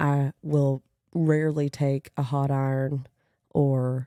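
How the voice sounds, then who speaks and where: A woman's very deep, low voice with a dark, mellow tone in a Kentucky accent, in a dry, close sound with no echo. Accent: country Kentucky. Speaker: podcast host. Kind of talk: casual monologue. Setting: home apartment recording.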